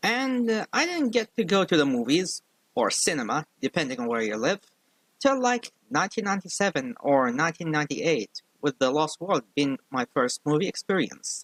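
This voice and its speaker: A strong non-native accent with very wide pitch swings, in dry, close sound with no echo. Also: man, fairly high pitch for a man, moderate pace. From outside the US. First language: not English. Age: 30s. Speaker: YouTube commentator. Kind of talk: video commentary.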